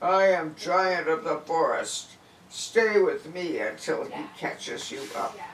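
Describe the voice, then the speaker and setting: A booming, put-on character voice at a middle pitch. It moves at a fairly slow pace. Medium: read story. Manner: hearty, confident.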